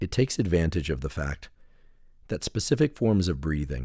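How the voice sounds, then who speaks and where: A man talks in a calm, soothing tone with vocal fry and very wide pitch swings. The recording is very clean, with a silent background. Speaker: neuroscientist guiding a relaxation protocol. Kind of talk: guided relaxation meditation. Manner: slow, calm, soothing, with long pauses.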